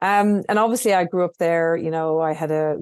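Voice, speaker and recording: With an Irish accent, a woman speaks in a fairly low pitch with a dark, mellow tone and ordinary pitch variation, the sound dry and close with no echo against a quiet background. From Ireland, rural. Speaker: entrepreneur. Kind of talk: interview podcast.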